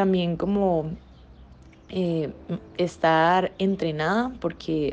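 Her intonation holds fairly even. The woman's pitch is fairly low. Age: 20s. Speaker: professional dancer and dance teacher. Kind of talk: podcast interview.

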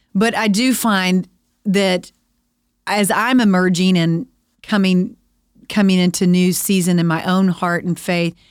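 At a fairly slow pace, a woman with a Texan accent speaks at medium pitch in a very clean recording with a silent background. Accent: Texan American. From Texas. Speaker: podcast host, women's ministry speaker. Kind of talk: casual faith conversation.

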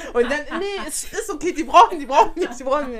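Her voice sits high in pitch. This woman's pitch swings very widely. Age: 20s. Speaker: flight attendant. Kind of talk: casual chat.

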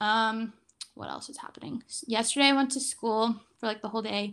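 In a normal speaking voice, a woman talks at a fairly quick pace and fairly high pitch, on a very clean recording with a silent background. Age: 20s. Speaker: podcast co-host. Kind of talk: casual chat.

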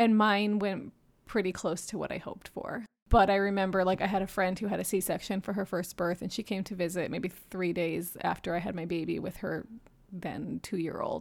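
A woman speaks at a moderate pace in a plain, everyday voice, her medium pitch moving with fairly even intonation in an American accent. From Japan and New York City. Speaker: perinatal mental health professional. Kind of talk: casual interview.

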